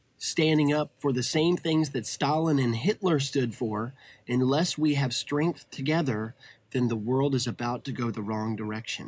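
A man with a Southern US accent at a moderate pace, with ordinary pitch variation. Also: medium pitch for a man. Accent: Southern US (Georgia). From US South, Atlanta, Georgia. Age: 30s. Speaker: casting director. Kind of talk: casual interview chat. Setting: outdoors at home.

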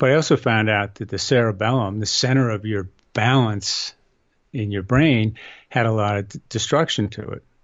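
A man talks with a normal speaking voice at a fairly low pitch. His pace is moderate and his pitch variation ordinary. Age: 60s. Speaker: inventor of balance training system. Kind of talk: casual interview.

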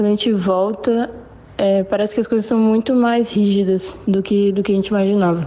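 A woman with a plain, everyday voice at medium pitch, fairly even intonation, very even loudness and a moderate pace. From Brazil (Foz do Iguaçu), born in Paraguay. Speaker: former exchange student. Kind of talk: recorded voice message.

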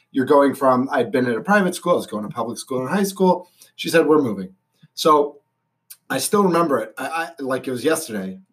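The voice has a Boston accent and lively intonation. It moves at a fairly quick pace. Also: man, fairly high pitch for a man. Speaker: stadium announcer and radio personality. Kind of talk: casual chat.

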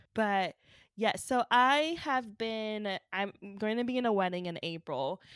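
Using an unremarkable speaking voice at a fairly high pitch, a woman talks at a fairly slow pace with lively intonation, dry and close with no echo on a very clean recording with a silent background. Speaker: podcast co-host. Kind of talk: casual chat.

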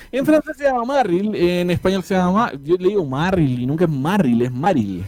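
A man's high-pitched voice in a Chilean accent. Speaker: podcast host. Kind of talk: casual chat.

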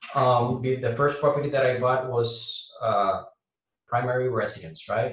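A man speaks with a Puerto Rican accent. His pitch is medium. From Puerto Rico. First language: Spanish. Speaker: air traffic controller and real estate investor. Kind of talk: casual interview.

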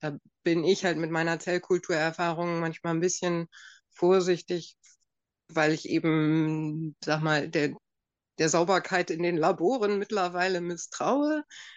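A woman's fairly low-pitched voice, fairly slow in pace and fairly even in intonation. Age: 40s. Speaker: physician. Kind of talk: expert interview. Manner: halting, many fillers.

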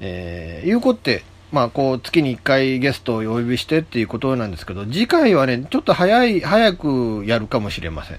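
A man speaks at a fairly quick pace with hardly any pauses. His medium pitch makes very wide swings, and his loudness shifts widely. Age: 50s. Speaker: internet radio host. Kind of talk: casual solo radio talk. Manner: chatty, rambling, informal.

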